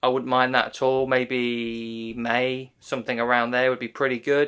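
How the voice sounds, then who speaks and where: Here a man speaks at a medium pitch with a British accent. The recording is very clean, with a silent background. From UK. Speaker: MMA YouTuber. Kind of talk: casual commentary monologue. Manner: casual, chatty.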